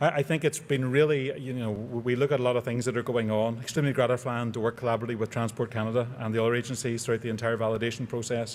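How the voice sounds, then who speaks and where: Speaking at a very fast pace with hardly any pauses, a man with a Northern Irish accent keeps a medium pitch and a monotone, flat intonation. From Northern Ireland. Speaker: aerospace engineer, award recipient. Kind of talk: award acceptance speech.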